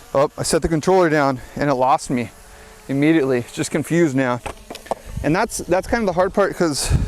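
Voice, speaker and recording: Fairly high-pitched and fairly quick, a man talks with ordinary pitch variation over noticeable background noise. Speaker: skateboarder and video creator. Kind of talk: vlog while skating and reviewing a drone. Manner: casual, with fillers.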